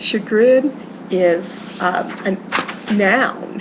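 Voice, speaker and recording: A woman at a medium pitch with ordinary pitch variation, audible room echo and noticeable background noise. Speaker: schoolteacher. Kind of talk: lecture. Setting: webcam recording. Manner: loud; halting, many fillers.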